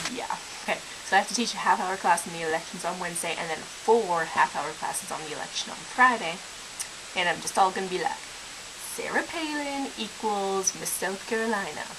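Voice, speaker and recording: With an American accent, a woman talks at a fairly quick pace with lively intonation. Noticeable background noise runs underneath. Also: medium pitch for a woman. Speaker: vlogger. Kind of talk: casual vlog. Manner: idiosyncratic speech with slang abbreviations.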